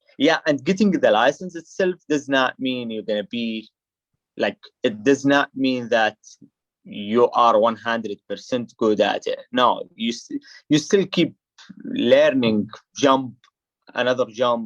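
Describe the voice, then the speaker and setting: A man speaks fairly slowly with an Arabic accent, leaving long, frequent pauses, in a dry, close recording with no echo. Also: medium pitch for a man, ordinary pitch variation. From Saudi Arabia. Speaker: skydiver and immigrant guest. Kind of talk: casual interview chat. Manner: halting.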